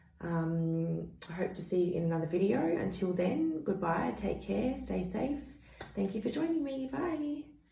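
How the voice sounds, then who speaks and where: With audible room echo and noticeable background noise, a woman speaks fairly slowly at a medium pitch, her pitch swinging very widely. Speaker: tarot reader. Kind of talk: tarot reading to camera. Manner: hesitant, many fillers.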